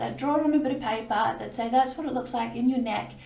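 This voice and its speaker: There is noticeable background noise and audible room echo. A woman with an Australian accent speaks at a high pitch with ordinary pitch variation. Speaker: video blogger sharing cancer story. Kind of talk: personal testimony. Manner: hesitant, many fillers.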